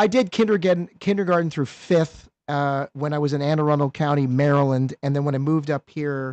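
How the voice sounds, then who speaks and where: Speaking with an American accent, a man has an unremarkable speaking voice, a fairly high pitch, fairly even intonation and a moderate pace. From eastern Pennsylvania. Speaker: podcast co-host. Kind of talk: casual interview.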